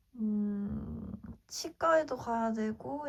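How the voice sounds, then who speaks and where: Her voice carries a somewhat breathy quality. She is a woman with a fairly high pitch. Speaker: lifestyle vlogger. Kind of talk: casual vlog talk to camera.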